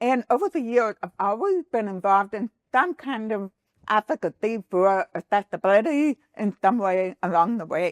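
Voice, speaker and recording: Speaking at a moderate pace with an American accent, a woman uses lively intonation and a fairly high pitch, recorded dry and close with no echo against a quiet background. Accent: deaf. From Texas. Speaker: accessibility advocate and business founder. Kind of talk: podcast interview. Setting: studio.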